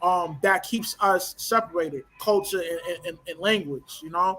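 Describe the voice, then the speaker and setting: High and bright with a sharp tone, a man's voice carries an American accent. He keeps a moderate pace. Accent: urban American vernacular. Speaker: discussion guest. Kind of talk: casual discussion. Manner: hesitant, many fillers and repetitions.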